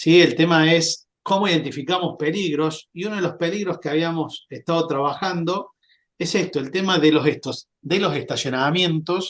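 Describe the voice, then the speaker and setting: The man's voice sits at a high pitch. He keeps a moderate pace with fairly even intonation. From Argentina, Córdoba province. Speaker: sales and marketing representative, fire safety presenter. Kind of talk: webinar presentation. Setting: online webinar. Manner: hesitant, many filler sounds.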